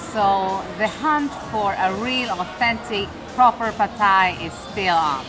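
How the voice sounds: Clear music plays behind a woman who speaks at a fairly slow pace with ordinary pitch variation. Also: medium pitch for a woman.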